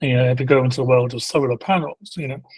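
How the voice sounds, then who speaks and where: A man with a British accent, somewhat breathy, at a medium pitch and a fairly quick pace. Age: 60s. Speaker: procurement executive. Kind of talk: interview.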